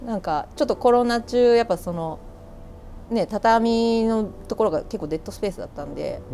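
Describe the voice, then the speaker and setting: With a dark, mellow tone and a fairly high pitch, a woman speaks at a moderate pace, her intonation lively and her loudness swinging widely. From Kanagawa, Japan (Yamato). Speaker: record shop manager and DJ. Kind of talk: casual interview chat. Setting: outdoors on a balcony.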